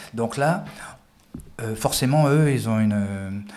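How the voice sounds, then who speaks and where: Medium-pitched man at a fairly slow pace, with audible room echo. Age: 50s. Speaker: former police tactical officer and judoka. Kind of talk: interview. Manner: halting, with frequent repetitions.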